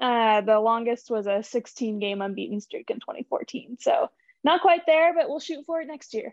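A woman's high voice in an American accent, with lively intonation at a moderate pace. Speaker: team communications staffer. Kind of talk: casual chat.

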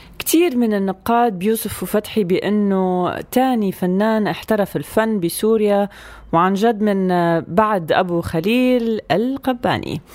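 On a very clean recording with a silent background, a woman talks in a plain, everyday voice at medium pitch, her loudness very even. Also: ordinary pitch variation, fairly slow pace. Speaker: radio co-host. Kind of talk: casual radio chat.

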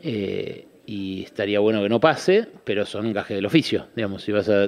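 A man with a normal speaking voice, fairly low in pitch, with lively intonation. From Buenos Aires, Argentina (Caballito). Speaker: economist and journalist. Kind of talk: radio interview.

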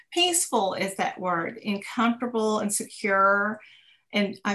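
Speaking very slowly with a Texan accent, a woman keeps to a medium pitch. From Texas. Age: 50s. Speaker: businesswoman. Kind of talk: interview. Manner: halting.

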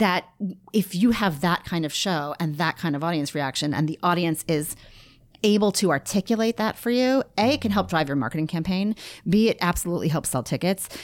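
In a very clean recording with a silent background and a dry, close sound with no echo, a woman with an American accent speaks at a fairly quick pace and fairly low pitch in an unremarkable speaking voice, her intonation lively. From New York, Rockland County. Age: 40s. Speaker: theatre marketing director. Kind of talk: interview.

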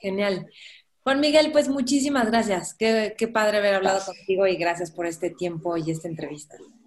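In a Mexican accent, a woman speaks at medium pitch with lively intonation. Her pace is fairly quick. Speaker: podcast host. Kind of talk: interview conversation.

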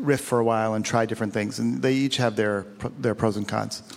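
At a fairly quick pace, a man of medium pitch talks in a monotone, flat intonation with noticeable background noise behind him. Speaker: film director. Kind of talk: comedic interview. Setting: stage with audience.

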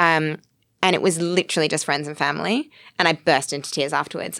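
Speaking very fast, a woman with an Australian accent shows ordinary pitch variation. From Australia (Sydney). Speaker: actress, writer and producer. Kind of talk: casual chat.

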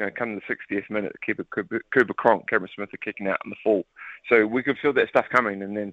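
A man with a New Zealand accent talks at a very fast pace with fairly low pitch. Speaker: retired rugby league player. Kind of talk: interview. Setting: phone call. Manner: animated.

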